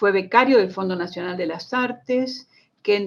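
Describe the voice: A woman's voice with a slightly husky edge and vocal fry, at a moderate pace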